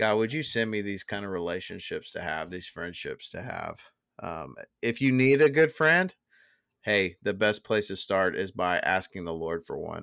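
On a very clean recording with a silent background, a man with an American accent has an unremarkable speaking voice, fairly low in pitch, with lively intonation at a moderate pace. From Dallas, Texas. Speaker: podcast host. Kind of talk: casual chat.

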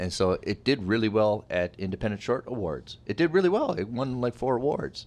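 Against a quiet background, a man with a normal speaking voice talks at a fairly quick pace and medium pitch, with lively intonation and hardly any pauses. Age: 40s. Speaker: podcast host. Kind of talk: casual chat.

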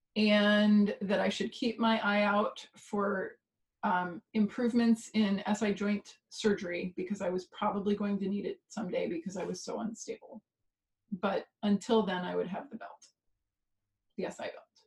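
Speaking in an American accent, a woman uses a medium pitch and fairly even intonation. Her voice is somewhat breathy, and her pace is moderate. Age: 40s. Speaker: pain coach and former swimmer. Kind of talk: interview storytelling.

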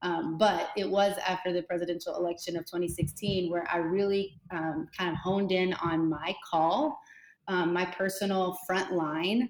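With an American accent, a woman speaks in a normal speaking voice at medium pitch, using fairly even intonation and a fairly slow pace. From Kentucky, US. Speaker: church minister and writer. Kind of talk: interview conversation.

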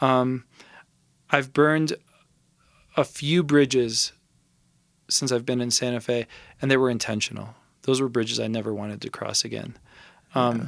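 A man with a Californian accent speaks in a medium pitch at a moderate pace, with fairly even intonation. He takes long, frequent pauses, and the recording is very clean with a silent background. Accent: Californian American. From Los Angeles. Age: 30s. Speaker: recording engineer. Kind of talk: casual interview chat.

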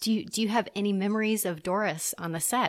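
A woman speaks at a medium pitch with ordinary pitch variation. Her tone is warm and enthusiastic. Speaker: podcast host interviewer. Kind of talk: interview. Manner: warm, enthusiastic.

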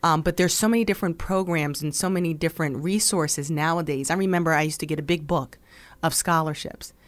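The speaker talks at a very fast pace with an American accent and fairly even intonation. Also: woman, fairly low pitch for a woman. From New Jersey, Burlington Township. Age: 40s. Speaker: high school counselor. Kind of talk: interview conversation.

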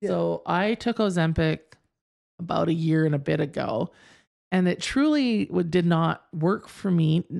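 With a plain, everyday voice, a woman talks at a fairly slow pace in a fairly low pitch with lively intonation and very even loudness, on a very clean recording with a silent background. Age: 40s. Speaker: podcast co-host. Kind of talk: casual chat.

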